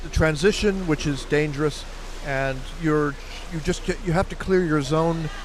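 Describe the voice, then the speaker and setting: This man's voice sits fairly high in pitch. Noticeable background noise runs underneath. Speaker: sports commentator. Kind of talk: live commentary. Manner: fast; animated.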